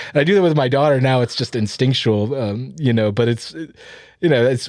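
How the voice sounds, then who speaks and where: A man with a General American accent, medium pitch, ordinary pitch variation and a fairly quick pace on a very clean recording with a silent background. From Arizona, from Ohio as a child. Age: 40s. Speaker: podcast co-host. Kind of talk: casual chat. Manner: hesitant, many fillers.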